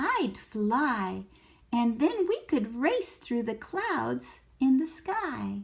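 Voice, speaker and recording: A woman's put-on character voice, high-pitched and delivered at a very slow pace. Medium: read story. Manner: cheeky, confident.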